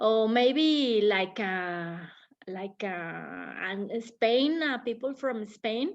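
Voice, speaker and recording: A woman with a Spanish accent speaks at a very slow pace against a quiet background. Her fairly high voice has lively intonation. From Mexico. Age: oldest in the group. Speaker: English class participant. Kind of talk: casual discussion. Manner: halting.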